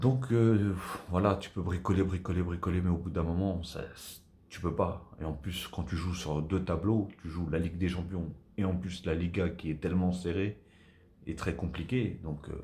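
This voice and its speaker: A soft-spoken man with a very deep, low pitch talks at a fairly slow pace, somewhat breathy and dark, mellow in tone. His intonation stays fairly even, and audible room echo surrounds him. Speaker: football YouTuber. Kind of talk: casual video debrief.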